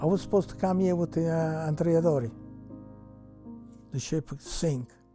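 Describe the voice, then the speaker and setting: With music in the background, a man speaks in an Italian accent at a moderate pace and a fairly high pitch. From Ceccano, Italy. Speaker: immigrant. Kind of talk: interview answer.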